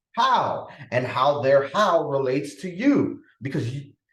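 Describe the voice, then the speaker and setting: There's audible room echo as a man speaks in an animated tone. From Dominican Republic, raised in the Bronx, New York. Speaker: podcast host, parenting and productivity coach. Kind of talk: solo podcast talk.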